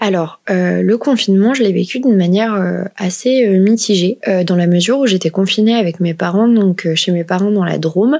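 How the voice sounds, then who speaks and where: A woman speaks in an ordinary speaking voice at medium pitch and moderate pace, with ordinary pitch variation and very even loudness. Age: 20s. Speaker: work psychologist. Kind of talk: interview conversation. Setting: remote recording.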